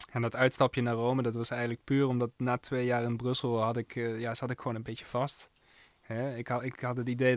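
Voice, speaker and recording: A man delivers his words at a fairly quick pace. His intonation is monotone and flat. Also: dry, close sound with no echo. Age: 20s. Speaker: jazz pianist and composer. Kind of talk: radio interview. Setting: radio studio.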